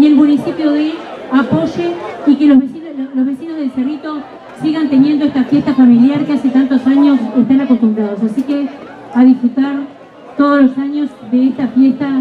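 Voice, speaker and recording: Against light background noise, a woman with a high pitch speaks at a moderate pace and with fairly even intonation. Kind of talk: public speech. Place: street.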